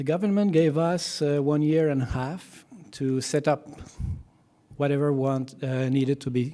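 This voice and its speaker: Fairly high in pitch, a man speaks with a dark, mellow tone and fairly even intonation. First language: French. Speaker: physician. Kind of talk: conference talk. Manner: halting, many fillers.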